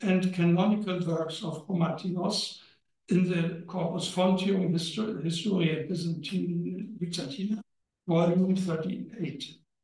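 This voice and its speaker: The man's voice is high in pitch with fairly even intonation. He talks at a fairly slow pace, with audible room echo. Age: old. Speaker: historian. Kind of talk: lecture. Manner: halting.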